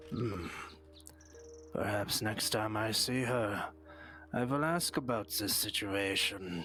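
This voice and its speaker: A put-on character voice at a fairly slow pace, broken by long, frequent pauses, over clear background music. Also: man, fairly low pitch for a man. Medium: game stream. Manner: slow, formal, composed.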